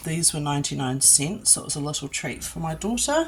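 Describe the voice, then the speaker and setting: With noticeable background noise behind her, a woman in a New Zealand accent speaks at a very deep, low pitch with ordinary pitch variation. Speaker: mum vlogger. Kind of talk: casual talk to camera.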